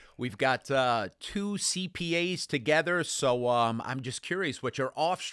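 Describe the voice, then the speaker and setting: A man with a New York accent talks with lively intonation and a fairly high pitch. His tone is bright and sharp, with a dry, close sound with no echo. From New York City, the Bronx. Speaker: accounting exam instructor. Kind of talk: casual interview chat. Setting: podcast studio. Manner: animated.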